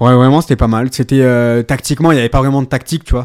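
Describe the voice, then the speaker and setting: A man speaks at a medium pitch with fairly even intonation, captured in a very clean recording against a silent background. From France, Ardèche. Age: 20s. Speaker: amateur footballer. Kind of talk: interview. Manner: hesitant, many fillers.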